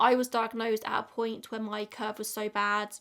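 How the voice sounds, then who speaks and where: An English accent colors the speech. It moves along at a moderate pace. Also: woman. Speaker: YouTuber. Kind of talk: casual chat.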